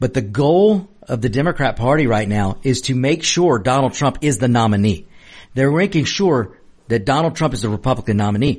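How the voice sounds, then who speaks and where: A man speaks at a fairly quick pace with lively intonation and a somewhat breathy voice. His loudness stays very even against a quiet background. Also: medium pitch for a man. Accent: American. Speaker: radio host. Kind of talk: opinionated talk radio monologue, political commentary. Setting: studio. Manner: animated, emphatic, repeats words for emphasis; conversational, fiery, addresses listeners directly.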